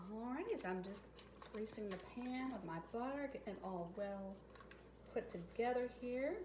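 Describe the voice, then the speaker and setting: A woman with an American accent talks at a moderate pace and a fairly high pitch, her intonation lively. The room echo is audible, and there is noticeable background noise. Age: 40s. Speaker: family vlogger. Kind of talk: cooking vlog chat. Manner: casual.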